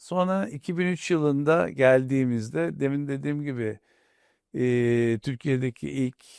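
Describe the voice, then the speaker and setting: A man at a very slow pace, in a very clean recording with a silent background. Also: dry, close sound with no echo. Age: 60s. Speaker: industrialist, company chairman. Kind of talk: interview. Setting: studio.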